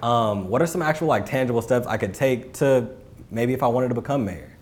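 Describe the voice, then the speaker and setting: Speaking at a fairly quick pace, a man uses a medium pitch. His tone is animated. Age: 20s. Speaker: podcast co-host. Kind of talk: casual chat; scripted narration.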